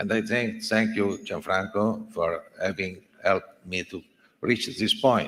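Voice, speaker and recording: This is a man speaking. He talks with an Italian accent. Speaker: sports journalist association president. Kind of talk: acceptance speech. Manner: halting.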